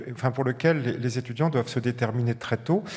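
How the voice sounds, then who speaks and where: He talks in an ordinary speaking voice at a fairly quick pace. This man's pitch is medium and varies in an ordinary way. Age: 60s. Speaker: medical professor, pulmonologist. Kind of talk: panel discussion.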